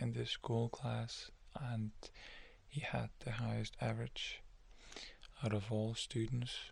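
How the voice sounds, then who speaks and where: A man speaks softly, his tone calm. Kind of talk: ASMR soft-spoken story narration. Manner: soft-spoken, calm.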